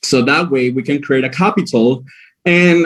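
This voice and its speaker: In a Spanish accent, a man speaks at a moderate pace. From Venezuela, Maracaibo / La Guajira, Wayuu. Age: 20s. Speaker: pageant contestant, cabin crew. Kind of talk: prepared presentation. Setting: live stream with jury. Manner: hesitant, with fillers.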